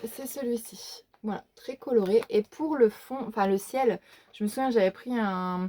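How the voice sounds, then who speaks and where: A woman's fairly high voice at a fairly slow pace, with ordinary pitch variation and a dry, close sound with no echo. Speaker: YouTuber showing her coloring book collection. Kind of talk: casual show-and-tell video. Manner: hesitant, many fillers.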